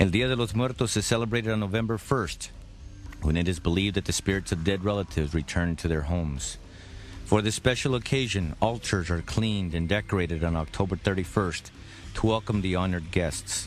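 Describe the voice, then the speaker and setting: The voice runs at a fairly quick pace, its pitch varying in an ordinary way. It is an unremarkable speaking voice. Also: man, fairly low pitch for a man. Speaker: radio host. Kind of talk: documentary narration.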